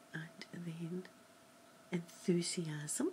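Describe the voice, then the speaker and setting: Soft-spoken and somewhat breathy, a woman talks at a fairly low pitch with monotone, flat intonation over noticeable background noise. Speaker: makeup vlogger. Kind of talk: makeup tutorial, role-play style. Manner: soft, hushed ASMR voice. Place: home room. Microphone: webcam.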